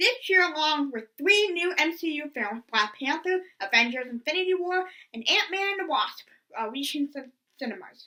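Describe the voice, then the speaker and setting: A woman's high, raised and projected voice, bright and sharp in tone, with very wide pitch swings at a moderate pace. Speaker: movie reviewer. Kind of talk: scripted review narration. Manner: stuttering.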